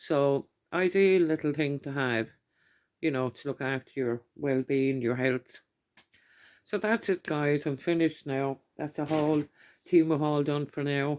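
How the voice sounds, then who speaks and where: Speaking at a fairly slow pace in an Irish accent, a woman with a very deep, low voice uses ordinary pitch variation and long, frequent pauses. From Ireland. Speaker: YouTuber doing product hauls. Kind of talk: casual haul video talk. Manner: chatty, with many fillers.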